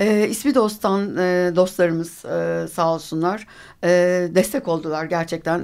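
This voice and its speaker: The speaker is a woman with a medium pitch. The recording is very clean, with a silent background. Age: 50s. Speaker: retired amateur cyclist. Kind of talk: radio interview. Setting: live radio studio. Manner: hesitant, many filler sounds.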